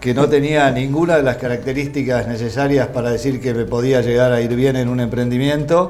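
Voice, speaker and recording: The speaker talks at a fairly quick pace with hardly any pauses, in an Argentine accent and with fairly even intonation. Audible room echo and noticeable background noise are present. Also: man, medium pitch for a man. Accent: Rioplatense Argentine Spanish. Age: 70s. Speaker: businessman, agronomist. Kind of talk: interview. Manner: halting, with repetitions.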